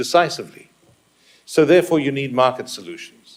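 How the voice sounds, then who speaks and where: Vocal fry runs through this man's voice. He has a South African accent and speaks at a moderate pace. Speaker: business executive, conference speaker. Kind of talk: conference presentation.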